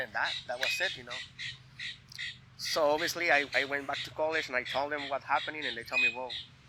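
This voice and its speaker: Talking very fast but with long, frequent pauses, a man with a Spanish accent uses a fairly high pitch and fairly even intonation over noticeable background noise. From Mexico (Veracruz). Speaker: cook. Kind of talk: casual chat. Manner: halting, many fillers.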